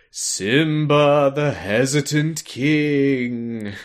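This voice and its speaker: A put-on character voice at low-to-middle pitch comes through on a very clean recording with a silent background. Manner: taunting, mocking.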